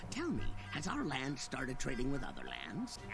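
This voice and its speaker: A man puts on a cartoonish character voice at a moderate pace. Loud background noise fills the clip. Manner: formal, polite.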